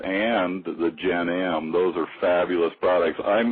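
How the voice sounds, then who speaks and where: Against noticeable background noise, a man speaks in a very deep, low voice with fairly even intonation. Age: 60s. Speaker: webinar host. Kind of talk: business presentation.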